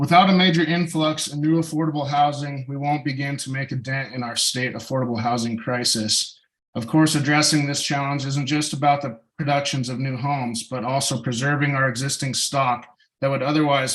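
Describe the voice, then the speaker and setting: Fairly even intonation marks an ordinary speaking voice that keeps a moderate pace. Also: man. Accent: American. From Montana. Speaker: public commenter, business owner. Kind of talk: public comment at council meeting. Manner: formal.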